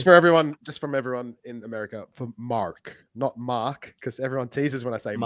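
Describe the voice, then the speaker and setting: In a dry, close recording with no echo, a man with an ordinary speaking voice talks at a fairly quick pace and medium pitch, with ordinary pitch variation, hardly any pauses and big swings in loudness. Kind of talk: casual, chatty.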